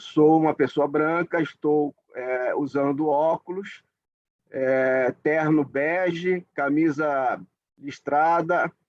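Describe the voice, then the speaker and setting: Speaking at a very slow pace, a man with a northeastern Brazilian accent uses a fairly high pitch and fairly even intonation. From Northeast Brazil, Alagoas. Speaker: judge. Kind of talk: formal event opening speech. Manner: halting, many fillers.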